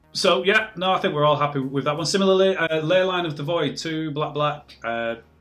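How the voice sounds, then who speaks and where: A man with a British accent talks at a fairly quick pace in a fairly high voice, his pitch rising and falling in an ordinary way over noticeable background noise. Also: hardly any pauses. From Britain. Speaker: podcast co-host. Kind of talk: casual chat.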